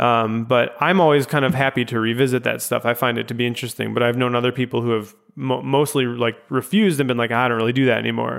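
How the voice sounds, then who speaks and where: Very fast speech comes from a man with an American accent. His pitch is medium. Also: very even loudness. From US Midwest, Chicago. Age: 20s. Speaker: podcast host. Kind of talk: casual interview chat.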